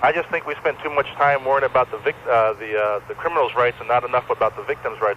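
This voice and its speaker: A medium-pitched man at a very fast pace with hardly any pauses and ordinary pitch variation, over noticeable background noise. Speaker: radio caller. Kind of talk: call-in radio talk.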